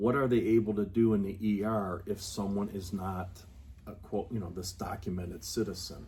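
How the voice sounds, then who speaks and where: A man speaks at a fairly low pitch with fairly even intonation. His voice is somewhat breathy. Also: moderate pace. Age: 60s. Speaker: public health official. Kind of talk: interview. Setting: on location at the health department.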